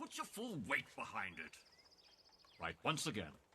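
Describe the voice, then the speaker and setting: In a put-on character voice, a man speaks at a moderate pace. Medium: short film. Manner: commanding.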